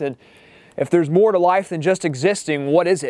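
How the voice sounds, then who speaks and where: This man has an ordinary speaking voice pitched fairly high. His pitch varies an ordinary amount. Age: young. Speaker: author. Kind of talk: casual talk to camera.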